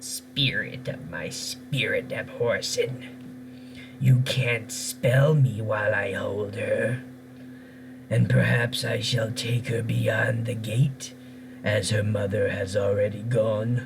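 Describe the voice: A man's gravelly put-on character voice, medium in pitch and fairly slow, over clear background noise.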